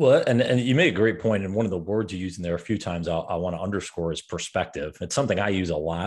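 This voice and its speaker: A man talks at a very fast pace with hardly any pauses, his pitch very deep and low. The background is quiet. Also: ordinary pitch variation. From upstate New York. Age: 30s. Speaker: podcast host and coach. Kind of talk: interview. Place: studio.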